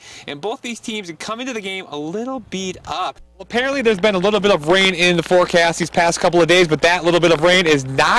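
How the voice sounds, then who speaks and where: A man talks in a high pitch with ordinary pitch variation. Noticeable background noise runs beneath him. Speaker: sports reporter. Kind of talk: sports broadcast reporting. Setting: outdoors at a stadium, live stand-up report.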